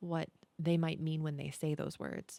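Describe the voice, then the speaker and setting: Heard in a dry, close sound with no echo, a soft-spoken woman talks at a very deep, low pitch. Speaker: content creator, podcast host. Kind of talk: podcast-style talk to camera.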